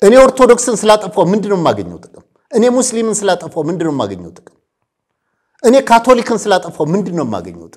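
A man's voice sits at a high pitch, and its pitch varies in an ordinary way. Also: big swings in loudness, quiet background. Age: 60s. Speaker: political commentator. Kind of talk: interview. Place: studio. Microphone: lapel.

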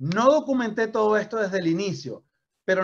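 Against a quiet background, a man talks in an animated tone at a moderate pace. His voice sits high and his intonation is lively. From Venezuela. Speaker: network marketing trainer. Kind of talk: motivational training talk. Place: home room. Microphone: video call.

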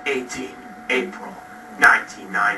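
A man speaks with audible room echo and music playing in the background. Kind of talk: comedic video diary monologue. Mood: whiny, jealous, melodramatic. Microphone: old recording.

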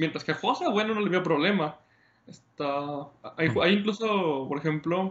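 With a Mexican accent, a man speaks at a fairly slow pace in a high pitch with ordinary pitch variation. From Mexico. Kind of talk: casual interview chat. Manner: halting, many repetitions.

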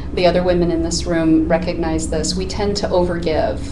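Noticeable background noise sits behind a woman speaking. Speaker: life coach guest. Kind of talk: interview answer. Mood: warm, earnest. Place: studio.

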